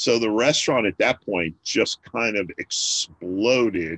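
Here is a man with a normal speaking voice, medium in pitch and with ordinary pitch variation. The background is quiet, and the sound is dry and close with no echo. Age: 50s. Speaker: restaurant owner. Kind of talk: interview. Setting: remote call from home.

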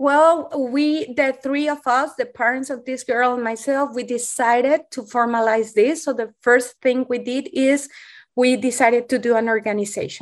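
Speaking with a Spanish accent, a woman keeps a moderate pace and fairly even intonation at a high pitch. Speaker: pediatrician and eating disorder program director. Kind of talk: interview.

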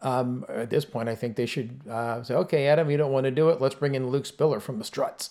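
Medium-pitched and dark, mellow in tone, a man talks at a fairly quick pace with hardly any pauses and fairly even intonation. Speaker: music fan, host's brother. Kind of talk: casual chat.

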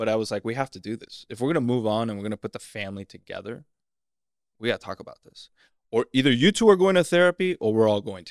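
A man talks at a very fast pace and medium pitch with lively intonation and big swings in loudness. The recording is very clean and dry, close with no echo, over a silent background. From Miami, Florida (Cuban-American). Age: 40s. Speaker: actor. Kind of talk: casual interview chat. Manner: animated.

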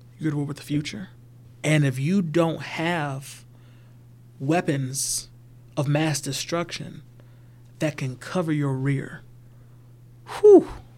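In an American accent, a man with a fairly high, somewhat breathy voice and fairly even intonation speaks at a very slow pace with long, frequent pauses, on a very clean recording with a silent background. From US South, Georgia. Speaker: banker. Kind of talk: casual chat.

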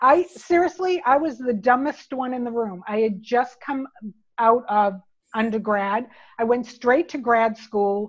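This woman's voice is fairly high, with ordinary pitch variation. She talks at a fairly slow pace against a quiet background. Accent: American. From United States. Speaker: marketing executive. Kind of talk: interview. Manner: animated.

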